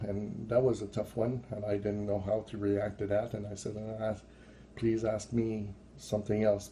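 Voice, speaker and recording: A man with a French accent talks fairly slowly at a fairly low pitch. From France. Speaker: religious visionary vlogger. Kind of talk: testimony. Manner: halting.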